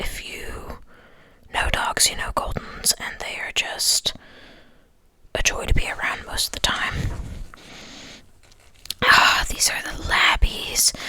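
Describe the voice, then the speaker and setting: Whispering at a very slow pace, a man takes long, frequent pauses, in a relaxed tone with big swings in loudness. Noticeable background noise is present. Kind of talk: whispered ASMR ramble to camera. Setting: close-mic recording at home. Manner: whispered, soft-spoken, relaxed.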